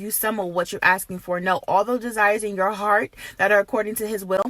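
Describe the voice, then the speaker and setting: Over noticeable background noise, a woman at a medium pitch talks at a fairly quick pace with fairly even intonation. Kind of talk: prophetic encouragement, casual talk to camera. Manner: earnest, conversational.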